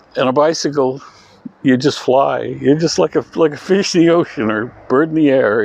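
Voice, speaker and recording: A fairly high-pitched male voice at a moderate pace with ordinary pitch variation, dry and close with no echo, over noticeable background noise. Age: 70s. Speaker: community bike workshop organizer. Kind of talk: interview. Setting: bike workshop. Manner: halting, many repeated words.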